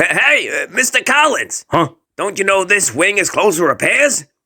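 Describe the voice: Using a cartoonish character voice, a man talks at a moderate pace with a high pitch.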